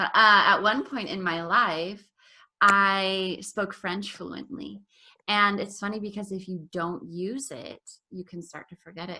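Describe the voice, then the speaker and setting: With a General American accent, the speaker goes at a fairly slow pace in a bright, sharp tone, showing big swings in loudness and ordinary pitch variation. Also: woman, medium pitch for a woman. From Colorado, US. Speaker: English teacher. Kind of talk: online class conversation. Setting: video call.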